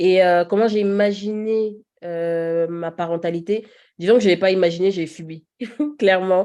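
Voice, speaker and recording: Her dark, mellow voice comes at a fairly slow pace, with fairly even intonation but big swings in loudness, from this woman. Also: medium pitch for a woman. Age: 30s. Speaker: podcast guest, mother. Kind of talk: casual interview conversation.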